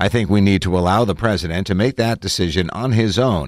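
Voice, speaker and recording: In a very clean recording with a silent background and a dry, close sound with no echo, a man talks in an ordinary speaking voice at a fairly low pitch and a moderate pace. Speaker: audiobook-style article narrator. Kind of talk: news reading of a written political article, read aloud. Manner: steady, even, formal newsreader delivery.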